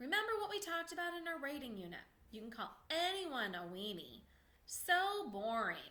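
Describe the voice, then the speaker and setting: A woman puts on a character voice, high-pitched with very wide pitch swings. She goes at a moderate pace. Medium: read story. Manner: jokey, theatrical.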